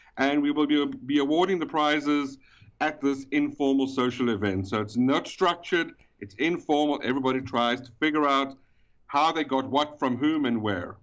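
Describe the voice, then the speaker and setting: This man has an accent from South Africa, a South African accent, and a fairly high-pitched voice. He talks at a moderate pace. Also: ordinary pitch variation. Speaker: event organizer. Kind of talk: casual chat. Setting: phone call.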